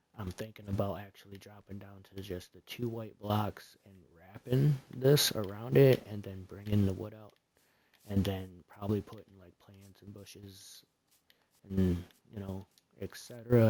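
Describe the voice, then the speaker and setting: This man is soft-spoken, with a fairly low pitch and a dark, mellow tone. He talks at a moderate pace with fairly even intonation but big swings in loudness. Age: 30s. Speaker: gaming streamer. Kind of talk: live gameplay commentary. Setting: live stream. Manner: hesitant, many fillers.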